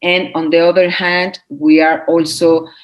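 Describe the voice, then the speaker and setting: Here a woman speaks with a Spanish accent. Her pitch is fairly low and her pace fairly slow. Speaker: legal nonprofit representative. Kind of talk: interview. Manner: halting, many fillers and repeats.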